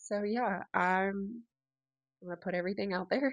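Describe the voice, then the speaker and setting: A woman speaks at a medium pitch in a dry, close sound with no echo. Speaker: podcast host. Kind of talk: casual chat. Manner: loud; animated.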